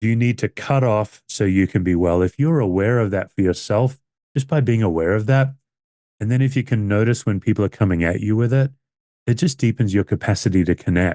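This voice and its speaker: A man's fairly low, dark, mellow voice at a fairly quick pace, with ordinary pitch variation and very even loudness, in a dry, close sound with no echo against a quiet background. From Western Australia (Perth). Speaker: pastor. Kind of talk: webinar discussion.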